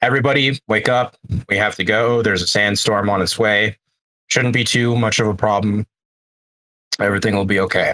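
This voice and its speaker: Using a raspy, put-on character voice at a fairly low pitch, a man talks at a fairly quick pace broken by long, frequent pauses. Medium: actual play.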